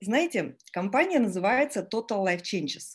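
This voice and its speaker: A woman talks at a fairly slow pace in a fairly high pitch. Her pitch swings very widely, and the background is quiet. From Estonia. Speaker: network marketing team leader. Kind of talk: live webinar presentation. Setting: online webinar. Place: home room. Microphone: video call.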